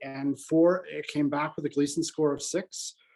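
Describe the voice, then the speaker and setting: A man's dark, mellow tone at a fairly high pitch, with fairly even intonation and a moderate pace. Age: 60s. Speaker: patient asking a question. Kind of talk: video call discussion. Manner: halting.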